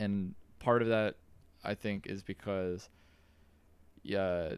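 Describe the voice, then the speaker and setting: An American-accented man at a very slow pace. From New York. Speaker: podcast host. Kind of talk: casual chat.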